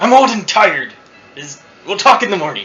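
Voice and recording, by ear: A man puts on a gruff character voice at a high pitch. He talks at a fairly quick pace.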